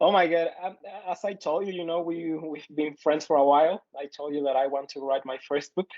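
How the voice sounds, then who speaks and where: A fairly high-pitched man with a Mexican accent, fairly even intonation, and a fairly quick pace. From Mexico. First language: Spanish. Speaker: podcast co-host, student and teacher. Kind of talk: casual chat. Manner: halting, many fillers.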